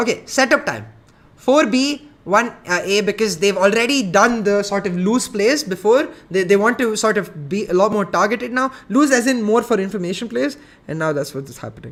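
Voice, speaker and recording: This man's high-pitched voice moves at a moderate pace, animated in tone and lively in intonation. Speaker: esports caster and analyst. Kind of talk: live stream game analysis. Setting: live stream without camera.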